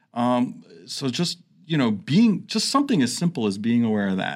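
A man with a plain, everyday voice speaks at a medium pitch with lively intonation on a very clean recording with a silent background. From New York City area. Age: 50s. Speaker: nurse and radio co-host. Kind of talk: interview. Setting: studio.

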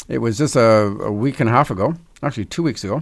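A man with a Canadian accent uses a normal speaking voice, lively intonation, and a fairly quick pace. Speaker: financial advisor. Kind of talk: radio talk show. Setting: studio.

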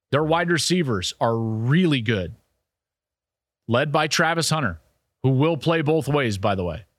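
With an American accent, a man speaks at a fairly slow pace with long, frequent pauses and lively intonation. His pitch is fairly high, and the recording is very clean with a silent background. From Colorado, US. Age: 40s. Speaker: college football analyst and podcast host. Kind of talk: casual sports analysis monologue.

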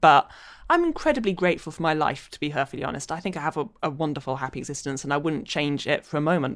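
Someone speaks very fast with a London accent and ordinary pitch variation. The recording is very clean, with a silent background. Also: woman, very deep, low pitch for a woman. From London, England. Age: 30s. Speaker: novelist. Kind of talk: interview.

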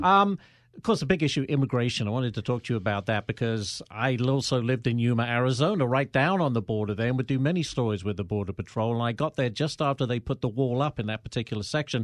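A man talks at a very fast pace with hardly any pauses, his pitch medium and its variation ordinary. The sound is dry and close with no echo, over a quiet background. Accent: American. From outside the US. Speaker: podcast host and journalist. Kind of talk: casual interview. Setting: studio.

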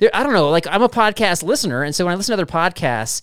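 In a very clean recording with a silent background and a dry, close sound with no echo, a man with a high pitch talks at a very fast pace with very wide pitch swings. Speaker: podcast co-host. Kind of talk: casual chat.

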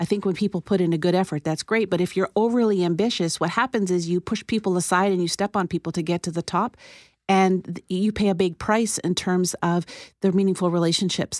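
At a fairly quick pace, a woman with an ordinary speaking voice talks at a medium pitch with fairly even intonation in a very clean recording with a silent background. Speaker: psychologist. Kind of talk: interview.

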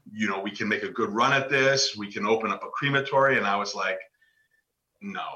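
Talking fairly quickly with lively intonation, a man has a slight New York accent. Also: medium pitch for a man. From New York, Westchester County. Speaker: author and funeral home owner. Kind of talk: interview.

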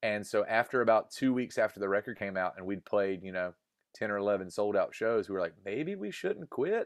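With a Southern US accent, a man speaks at a medium pitch and a moderate pace with ordinary pitch variation, the sound dry and close with no echo over a quiet background. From US South, North Carolina. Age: 30s. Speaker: musician. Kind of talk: interview.

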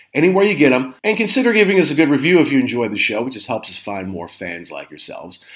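With vocal fry and a fairly high pitch, a man talks at a very fast pace with hardly any pauses, very wide pitch swings, and big swings in loudness. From Kentucky. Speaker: podcast host. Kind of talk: interview. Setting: studio.

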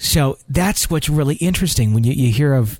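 The voice has a dark, mellow, warm tone, lively intonation and a somewhat breathy quality. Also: man, very clean recording, silent background. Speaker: podcast host. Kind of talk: ghost story narration. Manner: conversational, earnest, warm.

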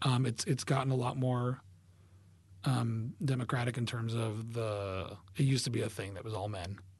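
Somewhat breathy, the man speaks at medium pitch with fairly even intonation. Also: moderate pace. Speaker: cartoonist. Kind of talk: casual interview.

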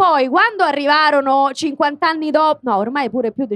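A woman with a Roman accent, high in pitch, at a moderate pace, in a dry, close sound with no echo. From Rome (Garbatella). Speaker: voice actress and comedian. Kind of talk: casual chat. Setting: stage with audience.

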